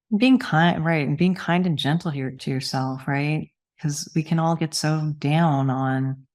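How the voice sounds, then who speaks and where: A woman speaks at a fairly slow pace in a very deep, low pitch with ordinary variation. The recording is very clean, with a silent background. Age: 60s. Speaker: cancer support nonprofit executive and breast cancer survivor. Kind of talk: podcast interview.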